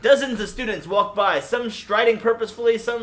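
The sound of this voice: An unforced reading voice carries the whole clip.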